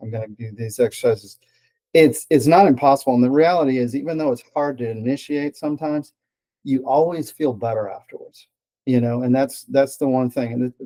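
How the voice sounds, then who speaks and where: A man's dark, mellow voice at a fairly quick pace, with ordinary pitch variation. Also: medium pitch for a man, big swings in loudness. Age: 60s. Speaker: patient giving testimonial. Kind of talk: testimony. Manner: halting, with fillers and repeated words.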